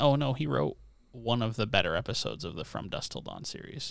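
This man speaks with a Canadian accent and audible vocal fry. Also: very clean recording, silent background. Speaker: podcast co-host. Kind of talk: casual chat. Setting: home recording with different microphone.

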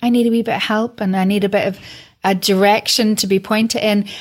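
On a very clean recording with a silent background, a woman with a fairly high pitch talks at a fairly quick pace in an unremarkable speaking voice. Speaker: podcast host and broadcaster. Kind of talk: interview.

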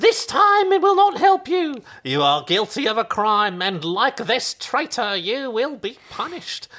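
A man puts on a squeaky character voice at an extremely high pitch, with very wide pitch swings. He talks with hardly any pauses. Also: moderate pace. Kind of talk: shrill old lady comic voice. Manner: accusing, doom-laden.

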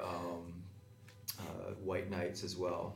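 A man speaks at a fairly slow pace amid audible room echo. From Calgary, Alberta. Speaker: tap dancer. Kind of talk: panel discussion.

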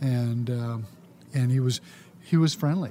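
A man with an American accent, ordinary pitch variation and a moderate pace. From US West, California (San Leandro area). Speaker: former city council member. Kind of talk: interview.

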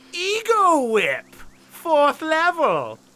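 In a put-on character voice, the speaker uses a high pitch and a theatrical tone. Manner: grand, theatrical announcing of spell titles.

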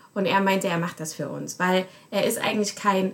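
The speaker is a woman with a somewhat breathy voice. She holds a moderate pace. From Germany. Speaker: research assistant and podcast producer. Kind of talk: casual chat.

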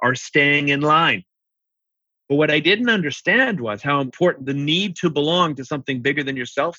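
A man's fairly high-pitched voice, dry and close with no echo. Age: 60s. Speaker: accountant and accounting firm CEO. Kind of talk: interview.

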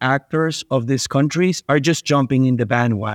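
Someone with a Spanish accent speaks at a moderate pace with ordinary pitch variation against a quiet background. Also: man. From Venezuela. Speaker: investment manager. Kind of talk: interview.

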